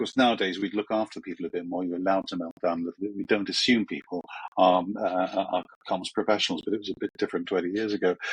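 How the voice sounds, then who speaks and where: A man with a British accent and a fairly low pitch, very fast pace and fairly even intonation, in a dry, close sound with no echo. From England, Croydon. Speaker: media trainer and former journalist. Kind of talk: podcast interview. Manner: hesitant with many fillers.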